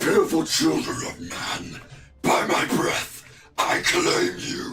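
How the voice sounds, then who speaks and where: A man performs a raspy, put-on character voice. He speaks at a very slow pace. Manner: menacing commanding.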